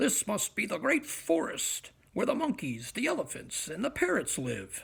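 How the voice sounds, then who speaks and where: Using a put-on character voice, a man speaks at a moderate pace in an extremely high pitch. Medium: read story. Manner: cheerful, wide-eyed.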